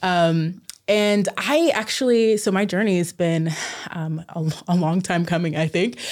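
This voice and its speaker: A woman speaks at a fairly slow pace, her fairly low pitch showing ordinary variation. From southern Oregon, US. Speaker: pediatric psychologist and professor. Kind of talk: casual interview. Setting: studio. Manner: animated, gestures while talking.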